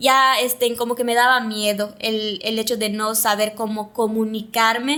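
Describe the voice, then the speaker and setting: A woman's fairly high voice at a fairly slow pace, monotone and flat in intonation, with hardly any pauses. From Yucatán, Mexico (Mayapán). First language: Yucatec Maya (speaking Spanish). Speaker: TV presenter and communicator. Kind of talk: interview conversation.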